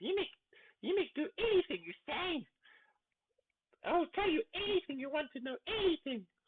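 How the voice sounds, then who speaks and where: In a put-on character voice of extremely high pitch, the delivery keeps a moderate pace with long, frequent pauses. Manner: begging, cowering.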